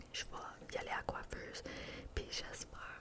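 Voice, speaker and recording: A woman whispers while noticeable background noise carries on behind her. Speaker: ASMR content creator. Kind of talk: casual whispered ramble to camera. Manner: whispered, chatty, mixing French and English.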